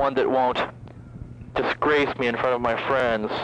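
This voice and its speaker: A man speaks in a monotone, flat intonation, the sound dry with no echo and light background noise behind him. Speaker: caller. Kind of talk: comedic phone message rambling. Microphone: phone line.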